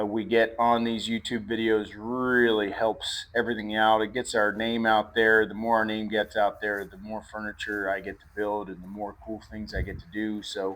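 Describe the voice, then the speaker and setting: A man speaks with an Appalachian accent. His pitch sits in the medium range. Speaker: woodworker and furniture maker. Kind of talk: casual vlog narration. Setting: workshop. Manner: halting, many fillers.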